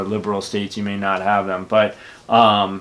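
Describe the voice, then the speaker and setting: Fairly low in pitch, a man talks at a fairly quick pace. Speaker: YouTuber. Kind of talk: casual monologue. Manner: outspoken.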